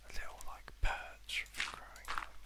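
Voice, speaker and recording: Soft-spoken and calm in tone, a man talks at a fairly slow pace over noticeable background noise. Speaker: ASMR gaming creator. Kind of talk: soft-spoken ASMR gameplay commentary. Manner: soft-spoken, calm.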